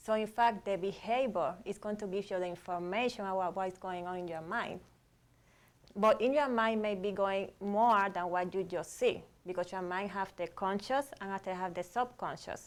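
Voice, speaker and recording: A woman talks at a moderate pace and a medium pitch, with ordinary pitch variation. The recording is very clean with a silent background. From Cuba, Havana. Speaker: psychologist, relationship and sex therapist. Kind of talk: panel discussion.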